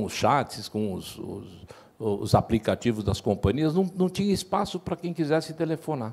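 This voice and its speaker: Pitch swings very widely while the speaker keeps to a fairly slow pace. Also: man. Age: 60s. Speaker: insurance brokers' union president. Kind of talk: panel discussion. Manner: halting.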